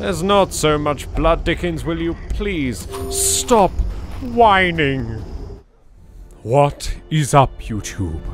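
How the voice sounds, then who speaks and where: A man's theatrical delivery, very slow and broken by long, frequent pauses, over music in the background. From England. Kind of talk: gaming commentary. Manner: theatrical, exaggerated.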